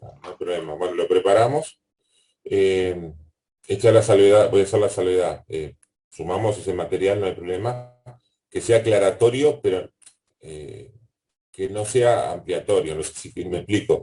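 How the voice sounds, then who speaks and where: A man with big swings in loudness and long, frequent pauses. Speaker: university lecturer. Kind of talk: online class Q&A. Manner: fast.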